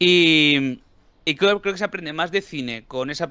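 A man speaks with ordinary pitch variation and a fairly high pitch. His tone is bright and sharp. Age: older than 29. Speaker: film and comics commentator. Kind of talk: casual chat.

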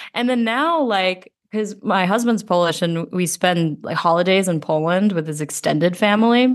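A woman in an American accent with a normal speaking voice, medium pitch, ordinary pitch variation and a moderate pace, against a quiet background. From US (grew up from age 8, Georgia), early childhood in the Philippines. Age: 30s. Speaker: futures designer. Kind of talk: casual chat.

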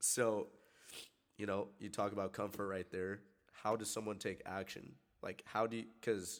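This man talks with an American accent. He keeps a moderate pace. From Everett, Washington. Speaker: podcast host. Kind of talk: casual interview. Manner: animated.

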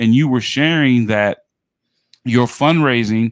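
An ordinary speaking voice with an American accent moves at a fairly slow pace on a very clean recording with a silent background. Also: man, dry, close sound with no echo. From New York City (Bronx). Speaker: podcast host and athletics administrator. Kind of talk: interview.

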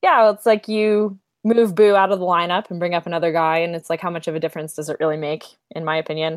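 In an American accent, a woman with a fairly low pitch talks at a very fast pace with fairly even intonation and big swings in loudness, recorded dry and close with no echo. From New York. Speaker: hockey blogger. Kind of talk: casual chat.

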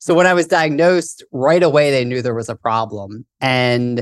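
A normal speaking voice from a man at a medium pitch and moderate pace, against a quiet background. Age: 20s. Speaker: author and childhood cancer survivor. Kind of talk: interview.

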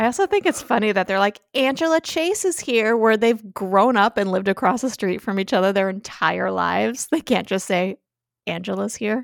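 A woman has an ordinary speaking voice at a medium pitch and moderate pace. The sound is dry and close, with no echo. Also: ordinary pitch variation. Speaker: podcast host. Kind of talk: casual chat.

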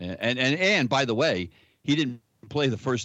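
A man with a normal speaking voice, fairly quick in pace, lively in intonation. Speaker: baseball fan, former official scorer. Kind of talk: casual chat.

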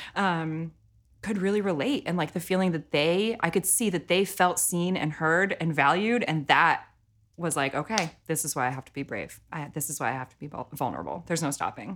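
A woman with an ordinary speaking voice talks at a fairly quick pace and fairly low pitch, with ordinary pitch variation and big swings in loudness. The recording is very clean, with a silent background. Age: 30s. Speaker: singer-songwriter. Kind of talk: casual interview. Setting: studio.

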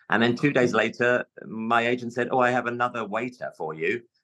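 A man with a London accent, medium-pitched, with a bright, sharp tone. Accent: London English, can switch to RP. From London, England. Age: 50s. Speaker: stage actor. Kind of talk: casual interview chat. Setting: video call from dressing room.

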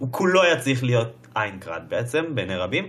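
A man with a plain, everyday voice speaks at medium pitch with lively intonation. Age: 20s. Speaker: podcast host. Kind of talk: casual chat.

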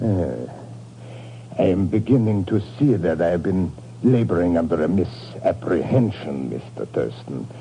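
Putting on a character voice in a Russian accent, a man speaks with a low pitch, a dark, mellow tone, vocal fry, and lively intonation at a fairly slow pace.

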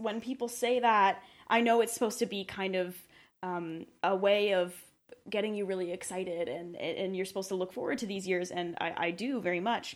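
On a very clean recording with a silent background, a normal speaking voice talks at a moderate pace, its intonation lively. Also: woman. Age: 20s. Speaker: podcast co-host. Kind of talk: casual chat. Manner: frequent laughter.

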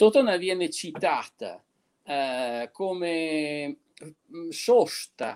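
A man's voice with very wide pitch swings, dry and close with no echo, in a very clean recording over a silent background. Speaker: local historian. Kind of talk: storytelling.

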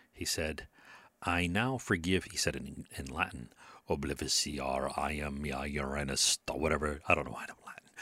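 A man talks at a moderate pace with vocal fry and ordinary pitch variation. The recording is very clean, with a silent background. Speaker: solo podcaster explaining rhetoric. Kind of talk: casual monologue lecture. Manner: hesitant, many fillers.

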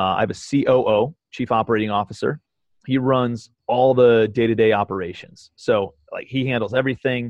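A man's ordinary speaking voice, medium in pitch, with fairly even intonation. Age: 30s. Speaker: real estate investor. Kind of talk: casual chat. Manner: fast.

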